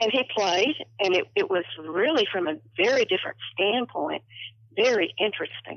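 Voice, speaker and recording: A woman with an unremarkable speaking voice talks at medium pitch and a moderate pace, with lively intonation and very even loudness. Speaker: longtime orchestra patron.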